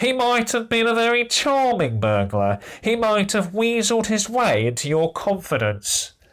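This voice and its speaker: Putting on a nasal character voice, a man speaks at a high pitch and a moderate pace. His loudness stays very even, and the recording is very clean with a silent background. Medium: read story. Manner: barking, officious.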